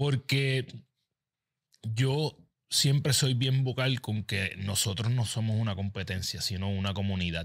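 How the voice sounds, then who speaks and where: Against a quiet background, a man speaks at a fairly slow pace, somewhat breathy, with ordinary pitch variation. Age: 40s. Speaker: podcast host and habits coach; podcast host, habits coach. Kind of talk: interview podcast. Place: studio. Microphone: studio mic.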